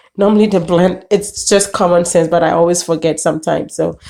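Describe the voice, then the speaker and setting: A woman with a fairly low pitch, a dark, mellow tone and vocal fry speaks at a moderate pace with ordinary pitch variation. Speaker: home cook vlogger. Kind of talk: casual cooking tutorial talk to camera.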